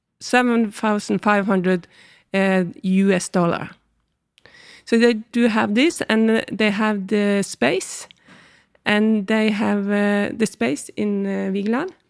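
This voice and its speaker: Over a silent background in a very clean recording, a woman with a Norwegian accent talks at a very slow pace with ordinary pitch variation. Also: medium pitch for a woman. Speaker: arts organization curator. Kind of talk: interview. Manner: hesitant, many fillers.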